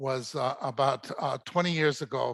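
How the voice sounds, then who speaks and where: Over a quiet background, a man speaks with vocal fry. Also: dry, close sound with no echo. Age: 70s. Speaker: botanic garden curator. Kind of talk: lecture. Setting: stage with audience. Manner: halting.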